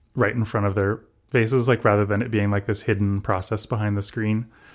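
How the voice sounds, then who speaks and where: A man's fairly low voice on a very clean recording with a silent background. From Southern California. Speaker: ambient musician. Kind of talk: interview. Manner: halting.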